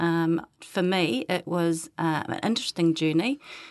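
Against a quiet background, a woman with a New Zealand accent speaks at a fairly slow pace. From New Zealand North Island. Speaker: Māori language teacher. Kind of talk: casual chat. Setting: studio.

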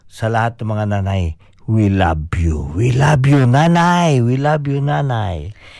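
Moving at a fairly slow pace, a man speaks at medium pitch. His pitch swings very widely. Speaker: community radio host. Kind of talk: casual radio chat. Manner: animated.

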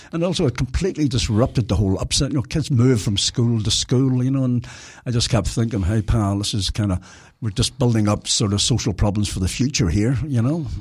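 A man with a Belfast accent speaks at a fairly quick pace in a medium pitch, slightly breathy, with ordinary pitch variation on a very clean recording with a silent background. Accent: Belfast Northern Irish. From Northern Ireland, Belfast. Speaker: former tenant advocate. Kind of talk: casual radio interview.

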